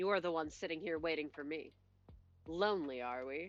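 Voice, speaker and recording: a put-on character voice at a middle pitch and fairly quick pace. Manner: teasing.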